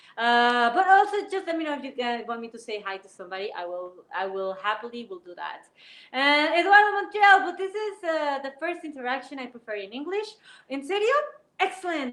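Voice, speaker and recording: A woman with a Spanish accent speaks at a fairly quick pace and high pitch. Her pitch swings very widely and her loudness rises and falls sharply. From Mexico City. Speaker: YouTuber and Spanish teacher. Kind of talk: live-stream chat reading viewer comments. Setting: home basement studio. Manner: halting, with fillers.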